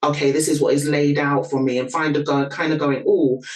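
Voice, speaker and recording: The speaker has a London accent, with noticeable background noise behind the voice. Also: woman. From London, England (Nigerian parents). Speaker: PR copywriter and content marketer. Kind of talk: interview.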